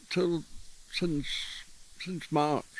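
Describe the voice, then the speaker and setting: Delivered at a very slow pace, the speech has a Yorkshire accent and fairly even intonation. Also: man. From Yorkshire, northern England. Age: 80s+. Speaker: visual artist, retired art lecturer. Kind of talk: casual interview. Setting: outdoors in a garden.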